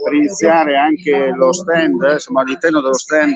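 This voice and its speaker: There is noticeable background noise behind this man. His pitch variation is ordinary. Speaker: live stream reporter. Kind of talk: live broadcast commentary. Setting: outdoors at a food festival stand.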